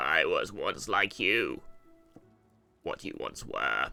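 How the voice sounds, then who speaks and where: Faint music plays in the background as a man performs in a put-on character voice. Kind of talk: theatrical, grudge-style. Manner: eerie, spooky.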